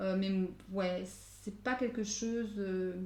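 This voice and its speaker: Somewhat breathy and dark, mellow in tone, a woman's medium-pitched voice carries fairly even intonation with audible room echo. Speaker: tarot card reader. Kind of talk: tarot guidance reading. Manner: fast; hesitant, many fillers.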